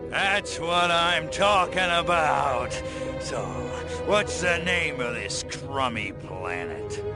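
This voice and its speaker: A man performs a cartoonish character voice at a very slow pace. Loud music plays in the background. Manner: brash, wisecracking, tough-guy slang.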